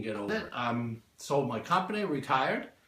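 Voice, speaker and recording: A man talks with an American accent at a moderate pace. His voice is somewhat breathy. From California. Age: 60s. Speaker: retired business owner, fitness client. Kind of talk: interview. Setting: home gym.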